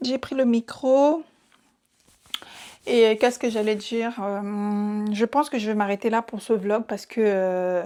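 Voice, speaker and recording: Pausing long and often, a woman speaks in a fairly high, dark, mellow tone with ordinary pitch variation. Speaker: vlogger. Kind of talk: casual vlog talk to camera. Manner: fast.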